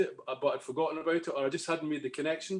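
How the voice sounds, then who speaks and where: A man with a Scottish accent at a very fast pace, his intonation fairly even. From Scotland. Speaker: music fan panelist. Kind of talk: casual chat. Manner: halting.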